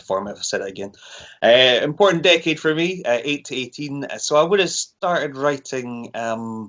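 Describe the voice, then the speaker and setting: With a Scottish accent, this speaker moves at a fairly quick pace and uses lively intonation. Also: man, big swings in loudness. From Scotland. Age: 30s. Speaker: horror author. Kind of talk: casual chat.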